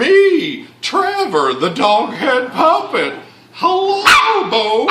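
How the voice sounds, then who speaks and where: Putting on a cartoonish character voice, a man talks at an extremely high pitch and a very slow pace. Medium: puppet show.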